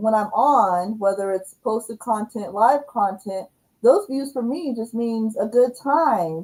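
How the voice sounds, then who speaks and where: At a fairly slow pace, a woman speaks with a fairly high pitch. Her tone is dark and mellow. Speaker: livestream host, YouTube coach. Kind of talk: casual livestream chat. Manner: loud.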